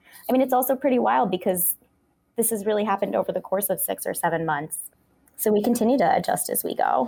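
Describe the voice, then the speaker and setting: A woman speaks very fast in a fairly high pitch, her tone dark and mellow with vocal fry. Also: lively intonation. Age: young. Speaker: food video journalist. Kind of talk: interview. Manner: animated.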